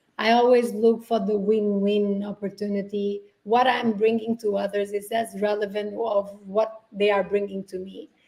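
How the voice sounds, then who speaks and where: A woman speaks at a moderate pace with a medium pitch and monotone, flat intonation. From Portugal (island). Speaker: sustainability entrepreneur. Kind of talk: interview.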